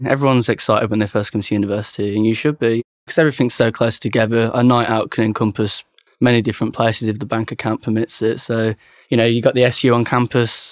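Over a quiet background, a man with a medium-pitched voice speaks at a very fast pace. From Birmingham, England. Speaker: university student. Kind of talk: interview. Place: cafe.

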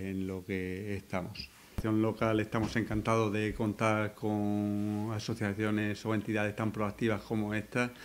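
Monotone, flat delivery from a man, fairly low in pitch and fairly slow in pace. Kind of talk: press conference statement. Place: meeting room.

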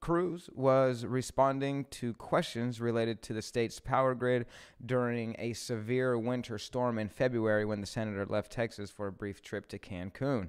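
A man's voice at a moderate pace, with ordinary pitch variation and hardly any pauses. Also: quiet background. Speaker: live stream host. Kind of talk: news commentary, reading articles. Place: studio. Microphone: studio mic.

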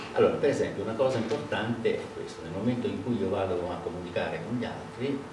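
A man talking at a fairly quick pace amid audible room echo and noticeable background noise. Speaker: speaker. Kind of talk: lecture. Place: meeting room. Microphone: camera far.

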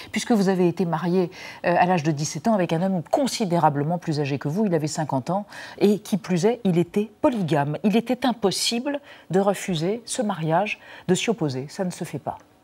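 The intonation is lively, and the words come at a fairly quick pace. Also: woman, fairly low pitch for a woman. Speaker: TV presenter. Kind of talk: TV interview question. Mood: serious, measured. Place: studio.

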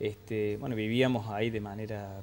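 Over light background noise, a man talks at a medium pitch. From Argentina, Córdoba. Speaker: former priest. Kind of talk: TV interview. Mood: calm, reflective. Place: studio. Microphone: lapel.

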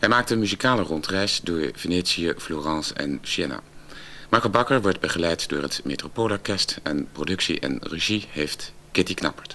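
This man has a very deep, low pitch. His intonation is lively. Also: moderate pace. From Netherlands. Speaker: television continuity announcer. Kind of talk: TV programme announcement, broadcast continuity. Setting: vintage 1970s TV recording. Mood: warm, friendly. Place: studio.

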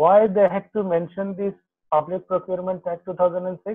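The pitch runs high for a man. He is the one talking. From Bangladesh. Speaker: lawyer. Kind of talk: webinar presentation. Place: home room. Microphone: video call.

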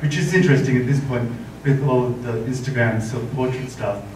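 Here a man talks with fairly even intonation. Audible room echo and light background noise surround his voice. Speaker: makeup artist; guest. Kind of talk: panel talk. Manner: soft-spoken. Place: hall.

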